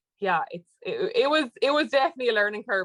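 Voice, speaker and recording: A woman with an American accent at a very fast pace, in a dry, close sound with no echo. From Ireland. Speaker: podcast guest. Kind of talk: casual interview.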